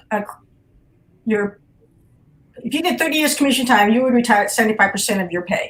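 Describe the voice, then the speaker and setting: Pausing long and often, a woman with an American accent speaks at a fairly high pitch. Her intonation is lively, and she uses vocal fry. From Nebraska, USA. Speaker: retired Army colonel, physician assistant. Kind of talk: interview answer. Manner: conversational, hesitant.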